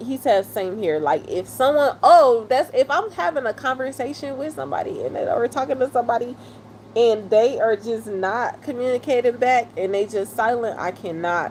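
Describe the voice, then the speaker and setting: A woman's high-pitched, animated voice at a moderate pace, with noticeable background noise. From Detroit, US Midwest. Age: 30s. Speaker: live streamer. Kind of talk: live stream chat with viewers.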